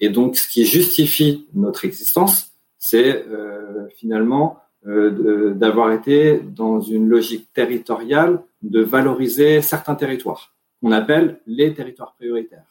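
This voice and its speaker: Lively intonation comes through at a fairly slow pace. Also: man, medium pitch for a man. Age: 30s. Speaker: investment fund director. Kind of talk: interview. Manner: halting.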